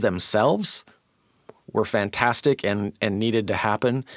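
In an ordinary speaking voice, a man with an American accent talks at a fairly slow pace with ordinary pitch variation. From US Pacific Northwest (Auburn, Washington). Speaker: columnist and community arts advocate. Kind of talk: podcast interview.

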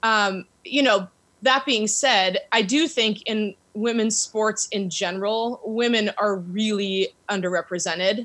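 Here a woman with a normal speaking voice talks at a fairly high pitch and a fairly slow pace, with ordinary pitch variation. The recording is very clean, with a silent background. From US Pacific Northwest, Seattle area. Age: 40s. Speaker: women's soccer club owner. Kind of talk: interview.

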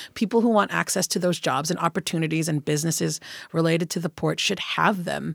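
At a very fast pace, a woman speaks in a fairly low voice with vocal fry and ordinary pitch variation, in a dry, close sound with no echo on a very clean recording with a silent background. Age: 40s. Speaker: political candidate. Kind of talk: interview.

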